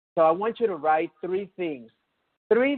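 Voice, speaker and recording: At a moderate pace, a man speaks in an animated tone with ordinary pitch variation. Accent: non-native. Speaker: chiropractor and motivational speaker. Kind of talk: webinar presentation.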